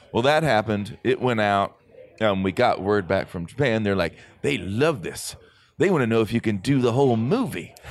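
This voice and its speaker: A man with an American accent speaks in a normal speaking voice at a medium pitch. His intonation is lively and his pace moderate. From Texas, Dallas. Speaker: voice actor and anime dub director. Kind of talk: casual interview. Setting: live at an anime convention.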